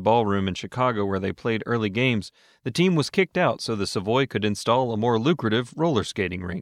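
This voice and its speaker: Speaking at a fairly quick pace, a man with an unremarkable speaking voice uses ordinary pitch variation at a medium pitch, on a very clean recording with a silent background. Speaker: radio host. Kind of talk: history radio narration, scripted. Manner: steady, clear, polished.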